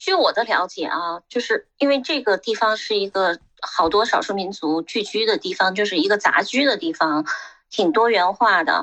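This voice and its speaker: Bright, sharp tone and lively intonation at a moderate pace, with a dry, close sound with no echo. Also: woman, medium pitch for a woman. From Xinjiang. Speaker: retired MBA program manager and magazine editor. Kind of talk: casual chat.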